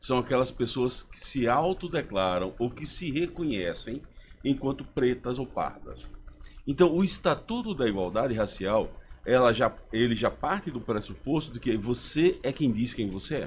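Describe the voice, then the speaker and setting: A man's medium-pitched, somewhat breathy voice with lively intonation at a fairly slow pace. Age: 60s. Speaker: professor, human rights advocate. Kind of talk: radio interview.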